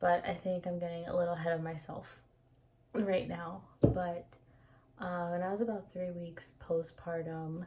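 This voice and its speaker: A woman speaks in a dark, mellow tone that is somewhat breathy. Her intonation is flat and monotone. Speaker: vlogger sharing personal experience. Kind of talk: casual personal vlog. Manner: slow; hesitant, many fillers.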